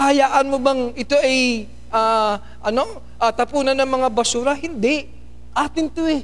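Very even loudness and ordinary pitch variation at a fairly slow pace, in audible room echo. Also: man, extremely high pitch for a man. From Philippines. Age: 50s. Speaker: pastor. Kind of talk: sermon.

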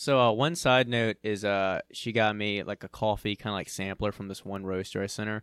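With a plain, everyday voice, a man speaks at a moderate pace, at a fairly low pitch, with fairly even intonation. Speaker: podcast co-host. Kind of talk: casual chat.

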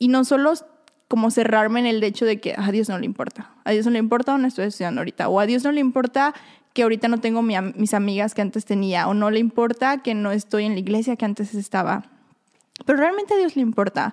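A woman talks at a very fast pace with a fairly high pitch. Her pitch varies in an ordinary way. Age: 20s. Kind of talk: faith-based casual chat.

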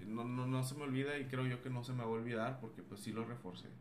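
Speech from a man, with noticeable background noise and audible echo from the room. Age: 30s. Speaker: psychologist. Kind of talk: casual chat.

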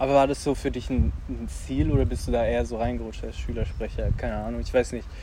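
In a room with audible echo, a man talks at a very fast pace with hardly any pauses. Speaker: podcast host. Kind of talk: casual chat. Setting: outdoors.

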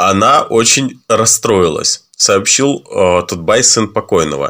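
Here a man speaks with very wide pitch swings. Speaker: podcast co-host. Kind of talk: news reading.

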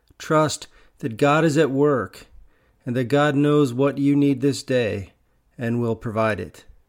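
The pace is fairly slow, with ordinary pitch variation in a normal speaking voice. The recording is very clean, with a silent background. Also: man, medium pitch for a man. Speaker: Episcopal priest. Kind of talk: guided meditation, with an opening prayer. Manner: slow, calm, soothing, with long pauses; gentle, hushed, unhurried.

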